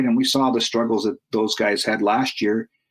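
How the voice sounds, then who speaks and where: An ordinary speaking voice from a man with a Canadian accent, fairly quick and with ordinary pitch variation, in a dry, close sound with no echo and a quiet background. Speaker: football team website writer. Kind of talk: casual sports talk interview.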